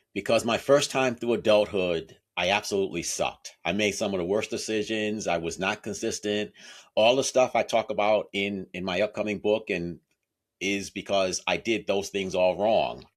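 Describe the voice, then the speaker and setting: Delivery comes at a moderate pace with fairly even intonation. The recording is very clean, the background silent. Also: man, fairly low pitch for a man. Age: 60s. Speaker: author and accountability coach. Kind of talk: interview.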